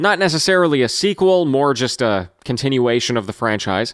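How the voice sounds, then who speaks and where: A normal speaking voice. The intonation is lively. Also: man. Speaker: gaming news host. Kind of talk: daily news show delivery. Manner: casual, conversational.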